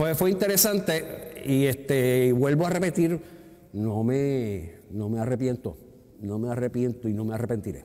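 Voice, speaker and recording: A man talks at a fairly slow pace while his pitch swings very widely. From Puerto Rico, Río Piedras; Puerto Rico. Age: 60s. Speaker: actor and retired theatre technical director; actor. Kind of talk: interview. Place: hall.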